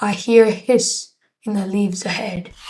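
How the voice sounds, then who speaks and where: A raspy, put-on character voice from a woman at a medium pitch. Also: moderate pace. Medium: read story.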